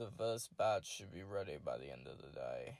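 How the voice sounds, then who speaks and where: Using a put-on character voice, a man drawls at a moderate pace in a fairly low pitch, with big swings in loudness. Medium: read story. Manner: drawling.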